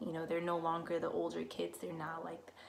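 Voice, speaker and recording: Her voice is fairly low in pitch, and the woman speaks with a Spanish accent. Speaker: student teacher. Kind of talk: casual talk to camera about experiences. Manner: many fillers and self-corrections.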